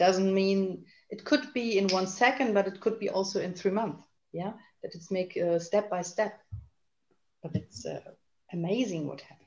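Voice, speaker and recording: A woman with a German accent talks at a moderate pace in a medium pitch, somewhat breathy, with ordinary pitch variation. Her loudness swings widely, and she takes long, frequent pauses. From Germany. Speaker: naturopath and healer. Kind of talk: panel discussion. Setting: video call. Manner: halting, searching for words.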